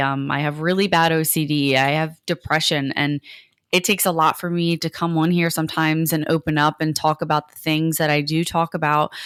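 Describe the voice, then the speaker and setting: A woman's very deep, low voice, monotone and flat, with a dry, close sound lacking echo in a very clean recording with a silent background. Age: young. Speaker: podcast co-host. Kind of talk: casual chat. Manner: halting, stumbles and stutters; fast.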